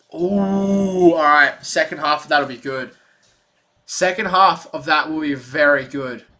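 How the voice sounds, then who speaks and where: Animated in tone, a man with an Australian accent speaks with fairly high pitch. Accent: Australian, sometimes mistaken for English. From Australia, Melbourne. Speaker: sports streamer. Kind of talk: live stream chat and play-by-play.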